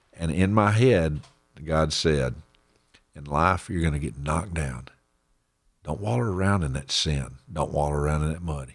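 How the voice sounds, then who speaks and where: With a Texan accent, a man speaks at a very deep, low pitch with ordinary pitch variation. His pace is moderate, broken by long, frequent pauses. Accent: Texan Southern US. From Central Texas. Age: 50s. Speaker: church member sharing testimony. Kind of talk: testimony.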